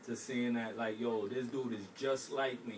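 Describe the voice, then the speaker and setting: With an American accent, a man speaks in a flat monotone, with audible room echo and noticeable background noise. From Brooklyn, New York. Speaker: aspiring author. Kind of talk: interview.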